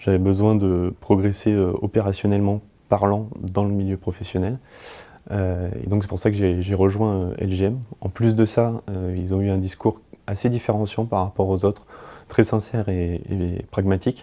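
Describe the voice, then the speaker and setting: With a dark, mellow tone, a man speaks at a moderate pace in a fairly low pitch, his intonation monotone and flat. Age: 20s. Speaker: project management consultant. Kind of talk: employee testimonial interview. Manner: hesitant, many filler words.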